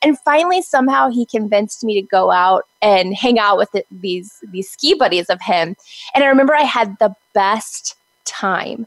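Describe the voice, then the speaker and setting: The voice has an American accent and very wide pitch swings. It moves at a moderate pace, sounding dry and close with no echo. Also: woman, fairly high pitch for a woman. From Texas. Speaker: social media agency owner. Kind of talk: interview.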